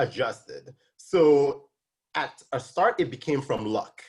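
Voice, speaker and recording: A man's fairly high, somewhat breathy voice with a slight Nigerian accent, fairly slow in pace, with ordinary pitch variation. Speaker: tax specialist and accounting instructor. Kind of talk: interview. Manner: hesitant, many fillers.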